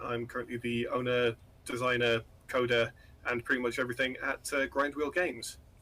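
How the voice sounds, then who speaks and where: Speaking fairly quickly with a British accent, a man keeps a medium pitch and fairly even intonation. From northeast England. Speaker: game developer. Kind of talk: interview. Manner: halting, many filler words.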